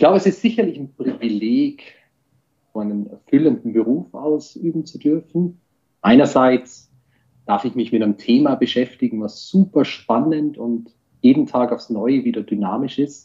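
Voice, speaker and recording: A man's fairly high voice has a dark, mellow tone and lively intonation, moving at a moderate pace. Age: 40s. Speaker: IT security executive. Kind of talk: interview. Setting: video call.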